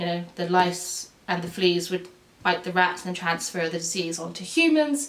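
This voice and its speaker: A woman talks at a moderate pace with a fairly low pitch and ordinary pitch variation. Noticeable background noise runs behind her. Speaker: YouTube presenter on medical history, nurse. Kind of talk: casual educational talk to camera. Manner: halting, self-correcting.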